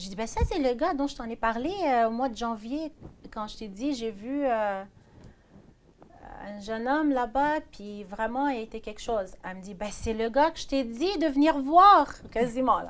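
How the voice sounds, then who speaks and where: In an ordinary speaking voice, the speaker goes at a fairly slow pace with lively intonation and big swings in loudness. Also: woman, fairly high pitch for a woman. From Iraq (Baghdad). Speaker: pastor's wife. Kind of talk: testimony.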